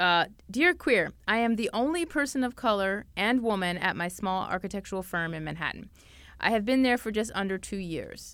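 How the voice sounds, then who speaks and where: An animated, bright, sharp voice with lively intonation at a fairly quick pace, in a very clean recording with a silent background. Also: woman. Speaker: podcast host. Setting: studio. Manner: animated, excitable.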